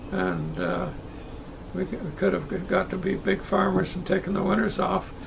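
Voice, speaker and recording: With noticeable background noise in the recording, a man talks at a moderate pace. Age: 90s. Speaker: motorcycle rider and dealer. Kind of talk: interview answer.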